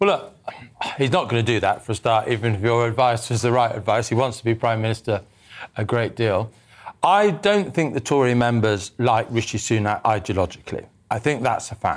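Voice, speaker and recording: A man with an unremarkable speaking voice, medium pitch, ordinary pitch variation, a fairly quick pace and very even loudness, on a very clean recording with a silent background. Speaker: political commentator. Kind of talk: panel discussion. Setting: studio.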